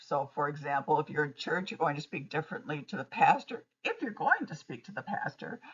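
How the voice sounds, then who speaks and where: A woman with a very deep, low voice speaks at a fairly quick pace. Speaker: college instructor. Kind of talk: lecture. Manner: halting, many fillers.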